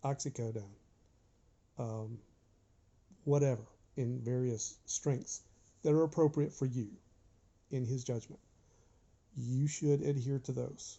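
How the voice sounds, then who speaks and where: A man of medium pitch talks at a fairly slow pace, somewhat breathy, with fairly even intonation and long, frequent pauses. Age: 60s. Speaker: vlogger sharing surgery recovery. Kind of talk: informal health vlog from notes.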